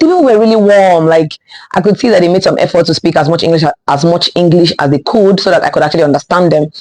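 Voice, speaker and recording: A woman with a fairly low pitch speaks very fast in an animated tone. Her loudness stays very even, with ordinary pitch variation. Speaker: lifestyle vlogger. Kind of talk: casual storytime vlog.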